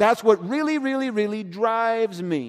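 Moving at a moderate pace, a man speaks in a high voice with ordinary pitch variation. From US South, South Georgia. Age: 40s. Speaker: pastor. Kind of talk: sermon. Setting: church.

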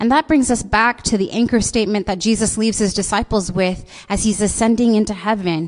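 A normal speaking voice from a woman with an American accent, fairly high in pitch, with ordinary pitch variation, very even loudness and a fairly quick pace. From US Pacific Northwest, Seattle. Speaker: pastor. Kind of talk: sermon. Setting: church service streamed live online.

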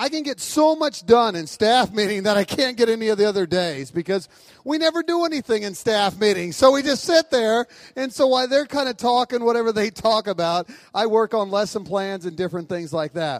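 Talking at a fairly quick pace, a man with a high pitch uses lively intonation. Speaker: roast honoree. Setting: stage with audience, handheld microphone.

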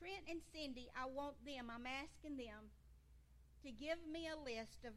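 A woman speaks very slowly with a Georgia accent. Noticeable background noise and audible room echo surround her voice. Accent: US South (Georgia). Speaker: seniors' ministry leader. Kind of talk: church talk.

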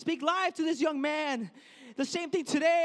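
Speaking in an animated tone with an American accent, a man uses an extremely high pitch at a moderate pace. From US Midwest, Chicago (Mexican family). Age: 20s. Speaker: Bible college student preacher. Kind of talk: sermon.

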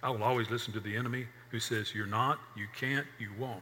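Audible room echo surrounds a man talking at a moderate pace and medium pitch. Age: 60s. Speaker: pastor. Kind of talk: sermon.

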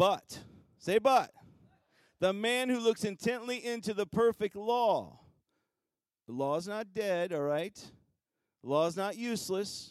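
On a very clean recording with a silent background, a man with a high pitch and an animated tone leaves long, frequent pauses, heard dry and close with no echo. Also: ordinary pitch variation, fairly slow pace. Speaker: pastor. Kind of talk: sermon.

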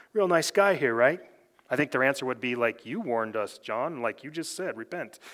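With lively intonation, a man speaks at a fairly quick pace and a medium pitch. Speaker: pastor. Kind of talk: sermon. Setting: church. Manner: fast; even, not very emotional.

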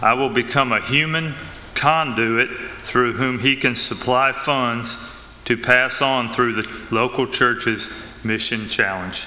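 A man with a Southern US accent talks at a very slow pace over noticeable background noise. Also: medium pitch for a man, fairly even intonation. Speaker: church leader giving announcements. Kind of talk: church announcements. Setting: church. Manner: halting.

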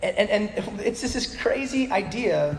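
Lively intonation carries through audible room echo and noticeable background noise. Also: man. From Alaska. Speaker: pastor. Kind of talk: sermon. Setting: church with congregation. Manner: animated.

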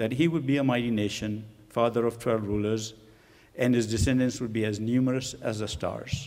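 A man with an American accent speaks at a moderate pace and medium pitch. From Pakistan. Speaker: guest preacher. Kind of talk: sermon. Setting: church.

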